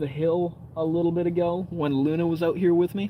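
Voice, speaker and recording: A man with an American accent speaks at a moderate pace in a fairly high pitch, with noticeable background noise behind him. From Canada. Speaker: outdoor live streamer. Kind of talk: casual live stream chat. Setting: outdoors by a campfire at night. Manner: relaxed, casual.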